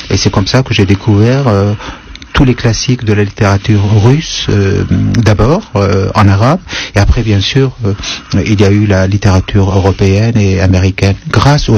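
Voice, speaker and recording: A man's fairly low voice at very even loudness and a moderate pace, with fairly even intonation and noticeable background noise. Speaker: writer. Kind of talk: radio interview. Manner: hesitant, many fillers.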